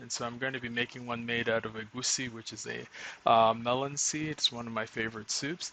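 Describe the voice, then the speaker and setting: A man talks at a fairly quick pace. His intonation is flat and monotone. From southeastern Nigeria (Igbo). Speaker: home cook streamer. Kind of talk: live cooking tutorial. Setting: live stream at home. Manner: casual, many fillers.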